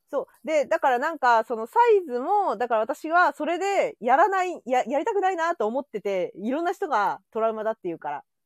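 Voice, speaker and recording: A woman speaks at a high pitch and a fairly quick pace, with very wide pitch swings and big swings in loudness. She hardly pauses, and the sound is dry and close with no echo. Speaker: podcast host. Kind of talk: casual chat. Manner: animated.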